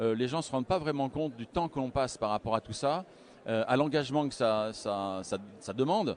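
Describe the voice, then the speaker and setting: Lively in intonation, a man speaks at a fairly quick pace and a medium pitch. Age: 60s. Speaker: wealth management adviser. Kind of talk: interview. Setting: live broadcast at a conference. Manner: halting, many hesitations.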